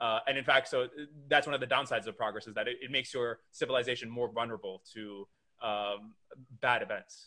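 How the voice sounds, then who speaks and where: A man with a normal speaking voice, medium pitch, fairly even intonation, a fairly quick pace, and big swings in loudness. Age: young. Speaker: podcast host. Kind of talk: interview conversation.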